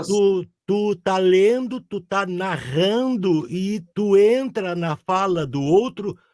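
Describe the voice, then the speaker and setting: Very slowly, a man talks in a high pitch. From southern Brazil. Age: 60s. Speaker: audiobook narrator. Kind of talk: interview answer. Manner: casual, hesitant.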